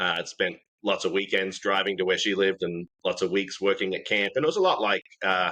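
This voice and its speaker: With an American accent, a man talks at a fairly quick pace and keeps his loudness very even. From Australia. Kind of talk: casual interview chat.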